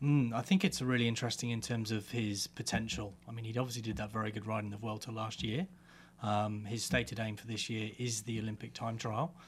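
A man's somewhat breathy voice at a medium pitch. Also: ordinary pitch variation, fairly quick pace. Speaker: cycling commentator. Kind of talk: casual chat.

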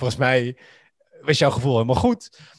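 In a normal speaking voice, a man of medium pitch talks at a moderate pace, the sound dry and close with no echo and the background quiet. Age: 30s. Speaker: podcast guest. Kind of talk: casual chat.

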